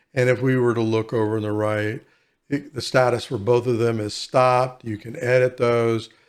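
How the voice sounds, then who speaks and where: A man speaks at a moderate pace and medium pitch in a plain, everyday voice. The recording is very clean, with a silent background. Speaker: software tutorial creator. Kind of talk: tutorial. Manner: casual.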